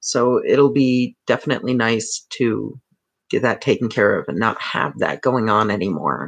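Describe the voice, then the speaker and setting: A squeaky male voice at a moderate pace. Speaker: streamer. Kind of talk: casual live stream chat. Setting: live stream.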